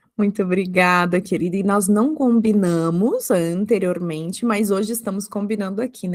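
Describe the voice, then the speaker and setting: A woman at medium pitch and a moderate pace, with fairly even intonation and a plain, everyday voice. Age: 30s. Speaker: psychologist podcast host. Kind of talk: podcast interview.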